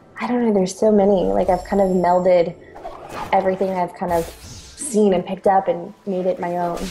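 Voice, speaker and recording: A woman's medium-pitched voice with an American accent, fairly quick and fairly even in intonation, over noticeable background noise. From Sacramento, California. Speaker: singer and voice actress. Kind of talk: casual interview chat. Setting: call.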